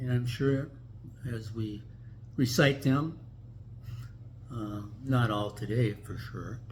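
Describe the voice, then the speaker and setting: In an American accent, a man talks at a very slow pace with long, frequent pauses and fairly even intonation, and the room echo is audible. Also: medium pitch for a man, big swings in loudness. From US Midwest, Minneapolis. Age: 80s+. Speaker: vlogger. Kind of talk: casual chat. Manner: halting.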